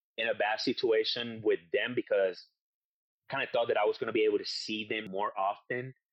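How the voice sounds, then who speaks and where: This man has a Spanish accent. He talks at a fairly quick pace. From Puerto Rico. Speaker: war veteran. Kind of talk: interview. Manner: halting.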